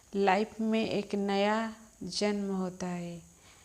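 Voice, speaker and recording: A woman with a dark, mellow tone speaks in a monotone, flat intonation. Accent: slight Odia. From Odisha, India. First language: Odia (speaking Hindi). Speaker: spiritual healer. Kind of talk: spiritual talk.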